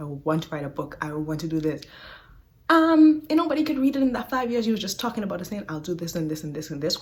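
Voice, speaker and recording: A woman talks at a very fast pace with lively intonation. Her voice is somewhat breathy. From Bahamas. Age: 20s. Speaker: podcast host. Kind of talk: casual talk to camera. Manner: upbeat, warm.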